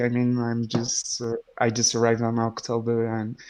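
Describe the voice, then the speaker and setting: Fairly slow speech with a French accent on a very clean recording with a silent background. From France. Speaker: community manager at game studio. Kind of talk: livestream chat.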